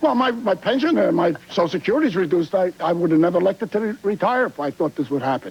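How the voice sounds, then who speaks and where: Over noticeable background noise, a man talks at a very fast pace with a high pitch and very wide pitch swings. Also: hardly any pauses. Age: 70s. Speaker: retired auto worker. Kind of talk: talk show audience testimony. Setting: TV studio with audience. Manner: halting.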